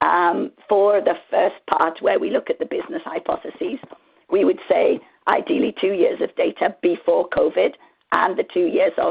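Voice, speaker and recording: A woman with a squeaky voice talks at a moderate pace. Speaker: marketing analytics expert. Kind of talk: conference presentation with Q&A. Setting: virtual conference.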